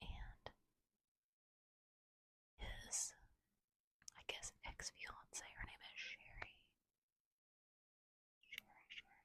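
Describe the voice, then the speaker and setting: Whispering very slowly, a woman leaves long, frequent pauses. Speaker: ASMR creator. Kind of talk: ASMR whisper ramble. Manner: whispered, soft-spoken; casual, rambling.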